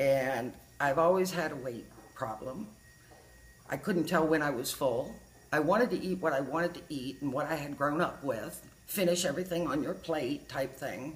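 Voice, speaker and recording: Noticeable background noise surrounds a woman's very deep, low voice. She talks at a moderate pace with ordinary pitch variation. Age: 60s. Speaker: patient giving a testimonial. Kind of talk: testimony. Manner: conversational, chatty.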